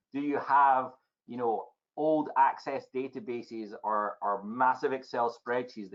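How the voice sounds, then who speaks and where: In a Scottish accent, a man speaks fairly slowly at a medium pitch. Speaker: technology evangelist. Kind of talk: podcast interview answer.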